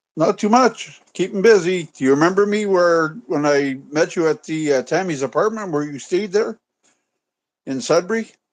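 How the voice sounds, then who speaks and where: At a moderate pace and against a quiet background, a man talks in a high pitch with ordinary pitch variation. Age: 60s. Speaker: caller. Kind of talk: casual chat. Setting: video call.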